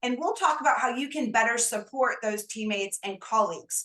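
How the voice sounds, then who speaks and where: A loud woman's voice with ordinary pitch variation. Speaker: career consultant and show host. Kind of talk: interview introduction.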